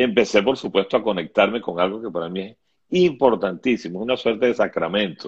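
A man talks at a fairly quick pace with ordinary pitch variation. It is a normal speaking voice. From Venezuela. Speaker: writer and TV screenwriter. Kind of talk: interview.

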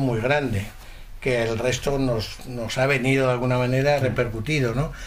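A man talks at a moderate pace in a medium pitch with monotone, flat intonation. Audible room echo and noticeable background noise surround him. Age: 50s. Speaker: cuckoo clock maker. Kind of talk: interview. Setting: workshop.

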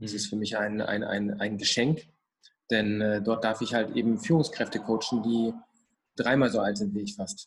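Here a man speaks at a moderate pace with a fairly low pitch. Long pauses come often. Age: 20s. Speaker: mental coach. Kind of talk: casual interview. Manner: animated.

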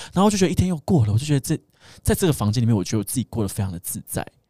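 Somewhat breathy and medium in pitch, a man speaks with lively intonation in a very clean recording that has a silent background and a dry, close sound with no echo. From Taiwan. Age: 30s. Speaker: podcast guest. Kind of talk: casual chat.

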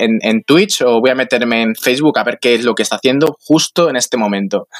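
Speaking at a very fast pace, a man keeps a medium pitch with ordinary pitch variation in a dry, close sound with no echo. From Mallorca, Spain. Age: 20s. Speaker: bicycle traveler. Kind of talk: casual chat. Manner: halting.

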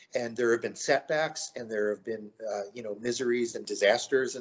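Speaking at a moderate pace in a plain, everyday voice, a man talks with an American accent. His medium pitch moves with ordinary pitch variation. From US South, Myrtle Beach, South Carolina. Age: 50s. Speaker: painter. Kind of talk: interview.

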